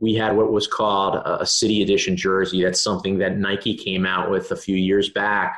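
A man's fairly low, flat monotone in an American accent at a fairly quick pace. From Maryland. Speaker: sports team marketing executive. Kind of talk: podcast interview.

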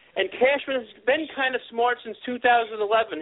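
The voice belongs to a man with an American accent. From Long Island, New York. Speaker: caller. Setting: phone call.

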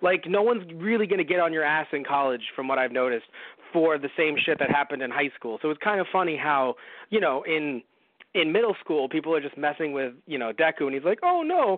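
A man talks fairly quickly in an ordinary speaking voice, pitched fairly high, with ordinary pitch variation. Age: 20s. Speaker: podcast host. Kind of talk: casual chat. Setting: audio-only recording.

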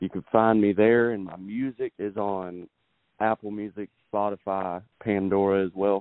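A man with a Texan accent, fairly low pitch, monotone and flat intonation, at a fairly slow pace. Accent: Texas Southern. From Texas, Beaumont. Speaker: country singer-songwriter. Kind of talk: interview.

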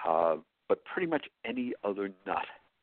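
This is a man speaking. He has an American accent. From New York. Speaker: chef. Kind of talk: interview.

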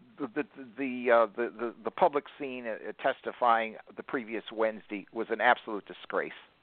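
This man has a plain, everyday voice with an American accent, medium in pitch. He talks at a moderate pace with fairly even intonation. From northern US. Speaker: radio network owner. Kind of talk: casual chat.

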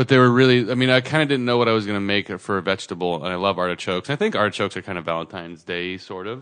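A man's very fast delivery with hardly any pauses, in an American accent, fairly low in pitch with ordinary pitch variation. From California (Santa Cruz). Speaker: podcast co-host. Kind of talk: casual chat.

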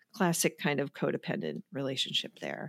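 Heard on a very clean recording with a silent background and a dry, close sound with no echo, this voice with an American accent and vocal fry moves at a moderate pace with ordinary pitch variation. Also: woman. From US Midwest. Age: 50s. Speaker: therapist and podcast host. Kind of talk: interview sharing a personal recovery story. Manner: calm, soothing delivery.

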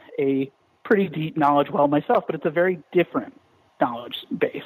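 This man's pitch sits fairly high. His intonation is lively. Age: 30s. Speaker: comic book writer. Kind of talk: interview.

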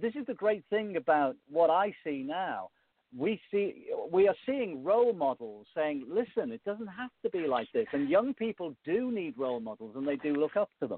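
A man with a Liverpool accent talks at a high pitch and a moderate pace. His pitch swings very widely. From Liverpool, England. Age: 50s. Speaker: music presenter and author. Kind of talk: interview. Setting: phone call.

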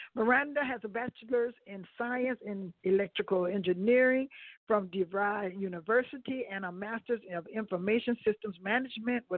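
It is an ordinary speaking voice. This woman has a medium pitch with ordinary pitch variation, going at a moderate pace. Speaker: radio host. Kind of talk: casual chat.

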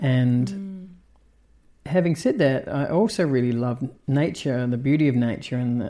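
A man's dark, mellow voice with a New Zealand accent. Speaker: cinematographer. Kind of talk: interview. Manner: hesitant, many fillers.

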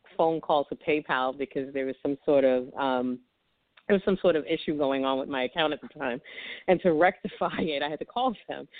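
A woman's very deep, low voice in a New York accent, at a moderate pace with ordinary pitch variation. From Brooklyn, New York. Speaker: romance author. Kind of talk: interview.

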